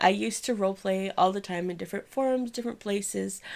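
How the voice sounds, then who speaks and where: A woman speaks at a medium pitch with ordinary pitch variation, her tone animated and her pace fairly quick, on a very clean recording with a silent background. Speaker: podcast host. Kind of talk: casual chat. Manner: animated, rambling.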